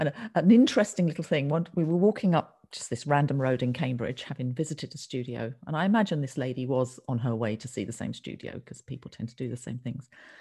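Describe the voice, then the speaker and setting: A woman with an English accent and a very deep, low pitch speaks very fast with hardly any pauses, her tone dark, mellow and somewhat breathy, her intonation lively and her loudness swinging widely. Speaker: textile artist, podcast co-host. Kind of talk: casual chat.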